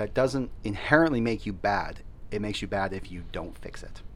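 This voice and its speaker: Audible room echo accompanies a man speaking with ordinary pitch variation. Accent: Canadian. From Canada. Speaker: teacher. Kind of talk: casual chat.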